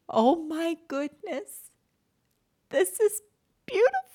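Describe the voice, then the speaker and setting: A female-sounding, put-on character voice sits at an extremely high pitch. It moves at a fairly slow pace. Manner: breathless, awed.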